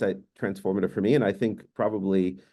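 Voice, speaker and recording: Against a quiet background, a man with a dark, mellow tone talks at a very fast pace. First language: Hungarian. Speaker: professor. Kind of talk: panel discussion.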